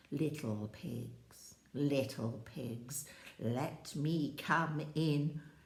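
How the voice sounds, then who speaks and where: A woman uses a cartoonish character voice, very deep and low. She speaks very slowly. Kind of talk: children's story telling. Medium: puppet.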